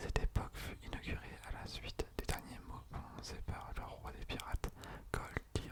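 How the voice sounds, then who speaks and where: A man is whispering. Noticeable background noise runs beneath him. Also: moderate pace. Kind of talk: ASMR reading of an encyclopedia article about a manga. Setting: studio, close microphone. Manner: soft-spoken, whispered.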